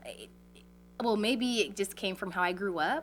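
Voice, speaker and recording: The pace is moderate. A woman is speaking. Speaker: hip hop artist and creative arts educator. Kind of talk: radio interview.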